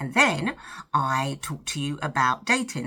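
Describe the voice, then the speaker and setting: A woman speaks with a British accent in a bright, sharp tone. The recording is very clean, with a silent background. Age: 50s. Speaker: lifestyle vlogger. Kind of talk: casual chat to camera while doing makeup. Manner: chatty, talkative.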